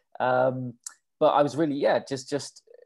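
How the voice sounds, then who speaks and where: A man with an English accent and monotone, flat intonation. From England. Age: 40s. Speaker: ultrarunner. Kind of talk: interview. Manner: halting.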